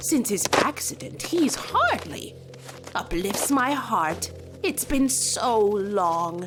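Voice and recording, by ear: A cartoonish character voice with a fairly high pitch moves at a very slow pace. Clear background noise runs underneath.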